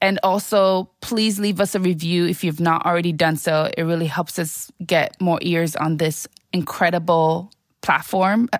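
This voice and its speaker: A woman speaks in an ordinary speaking voice, her pitch fairly low. She talks at a fairly slow pace with fairly even intonation. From Sierra Leone, raised in New York City. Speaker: podcast host. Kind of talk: casual interview. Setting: in-person recording.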